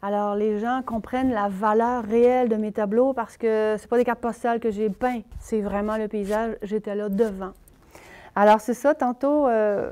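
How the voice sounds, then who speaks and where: A woman's fairly high-pitched voice, dark and mellow in tone, at a moderate pace. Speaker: painter. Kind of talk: interview testimony. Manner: animated.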